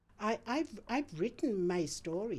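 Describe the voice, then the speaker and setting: A woman speaks at a very slow pace. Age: 70s. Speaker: retired midwife. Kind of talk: interview testimony. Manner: hesitant, repeats words.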